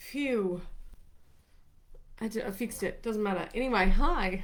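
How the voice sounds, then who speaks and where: At a fairly slow pace, a woman with an Australian accent speaks with ordinary pitch variation. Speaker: former ambulance paramedic, wellbeing coach. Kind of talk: casual live talk to camera. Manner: rambling.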